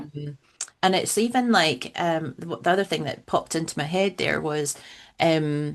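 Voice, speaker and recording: Against a quiet background, a woman with a Scottish accent and a fairly low pitch speaks at a fairly slow pace. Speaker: funeral celebrant. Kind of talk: podcast interview answer.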